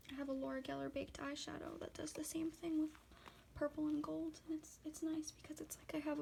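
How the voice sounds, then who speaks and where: Soft-spoken, a woman with a high pitch talks at a very fast pace in a flat, monotone delivery. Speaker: ASMR content creator. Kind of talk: ASMR makeup swatching video, casual talk to camera.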